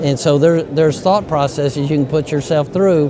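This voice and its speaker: A man talks with a fairly high pitch and ordinary pitch variation. Noticeable background noise can be heard. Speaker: medical device inventor and company CEO. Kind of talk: interview. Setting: conference.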